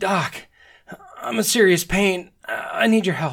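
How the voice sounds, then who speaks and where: A raspy put-on character voice at middle pitch and a fairly slow pace. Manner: pained, gasping.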